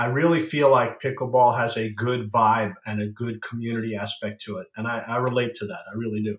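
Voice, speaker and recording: Speaking at a moderate pace with ordinary pitch variation, a man uses an ordinary speaking voice at a medium pitch. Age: 50s. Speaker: pickleball paddle company founder. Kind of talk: casual interview.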